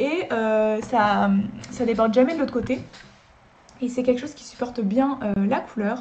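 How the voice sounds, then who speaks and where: In a room with audible echo, a woman speaks in a high voice with ordinary pitch variation, big swings in loudness, and long, frequent pauses. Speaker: drawing youtuber. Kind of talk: casual review talk to camera. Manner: fast; hesitant with many fillers.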